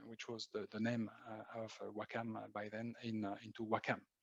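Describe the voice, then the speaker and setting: A man speaks with a French accent at a medium pitch. His pace is fairly quick, and the sound is dry and close with no echo. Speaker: marketing executive. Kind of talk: interview. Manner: halting.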